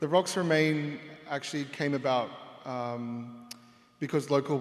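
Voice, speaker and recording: A man with an Australian accent. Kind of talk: panel discussion.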